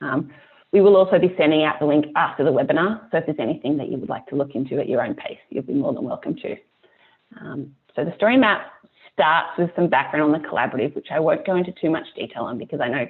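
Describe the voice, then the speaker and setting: Speaking at a very fast pace, a woman with a strong Australian accent and a very deep, low pitch uses lively intonation. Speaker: climate nonprofit staff presenter. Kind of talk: webinar presentation. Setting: online webinar with screen share. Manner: hesitant, many ums.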